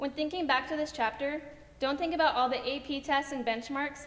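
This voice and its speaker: High-pitched woman at a fairly quick pace, her intonation fairly even. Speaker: speaker. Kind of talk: graduation speech. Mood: warm, heartfelt. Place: stage.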